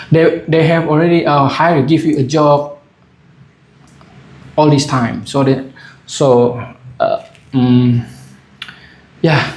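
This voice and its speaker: The speaker goes at a fairly slow pace, with long, frequent pauses and fairly even intonation. Loudness stays very even, and room echo is audible. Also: man. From Asia. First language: not English. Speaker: vlogger. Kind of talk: casual monologue. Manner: halting, many fillers.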